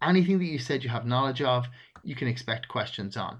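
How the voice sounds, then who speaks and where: A very fast, somewhat breathy delivery in an Irish accent, with lively intonation. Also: man. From Ireland. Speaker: podcast host, recruitment advisor. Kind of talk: solo instructional talk.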